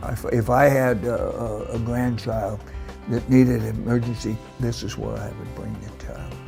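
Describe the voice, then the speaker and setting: Over music in the background, a man speaks at a fairly slow pace, his loudness swinging widely. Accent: American. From Olympia, Washington. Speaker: retired army colonel, helicopter pilot, Vietnam veteran. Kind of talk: interview answer, testimonial. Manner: hesitant, halting.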